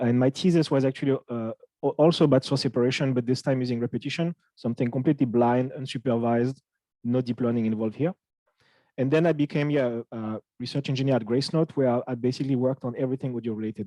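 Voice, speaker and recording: A man of medium pitch talks very fast with fairly even intonation and a dark, mellow tone, in a dry, close sound with no echo. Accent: French. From France. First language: French. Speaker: audio research engineer. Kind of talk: technical lecture. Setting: talk with live interpreter. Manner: halting, many fillers.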